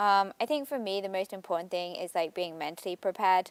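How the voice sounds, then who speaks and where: Speaking at a very fast pace, a woman has medium pitch, ordinary pitch variation and an English accent. The recording is very clean with a silent background and a dry, close sound with no echo. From England. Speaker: college athlete. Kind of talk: interview. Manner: hesitant, many fillers.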